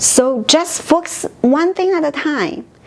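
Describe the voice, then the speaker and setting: With a Chinese accent and lively intonation, a woman speaks at a very slow pace over noticeable background noise. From China. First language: Mandarin Chinese. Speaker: language teacher. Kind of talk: tutorial.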